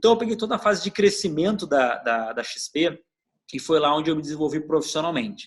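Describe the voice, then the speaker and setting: A man talks with a southern Brazilian accent. His pace is fairly quick and his pitch variation ordinary. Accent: gaúcho (southern Brazilian). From southern Brazil (Rio Grande do Sul). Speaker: customer experience executive. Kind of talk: interview. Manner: hesitant, with repetitions.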